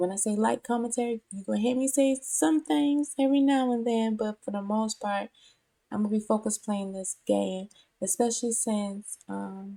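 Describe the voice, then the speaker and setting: Here is a woman with a fairly high pitch and a dark, mellow tone. Her voice sounds dry and close, with no echo. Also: ordinary pitch variation, moderate pace. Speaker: VTuber and gaming streamer. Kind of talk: casual gaming commentary. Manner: hesitant, filler words.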